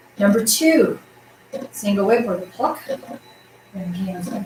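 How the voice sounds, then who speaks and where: A woman talks fairly slowly, her intonation lively, against noticeable background noise. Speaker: tai chi instructor. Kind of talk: class instruction. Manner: loud, projecting voice; animated.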